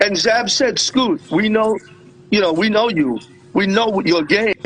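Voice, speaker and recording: A high-pitched male voice with ordinary pitch variation and very even loudness, over noticeable background noise. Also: fairly slow pace. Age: 60s. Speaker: weight-cut and conditioning coach. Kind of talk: casual chat.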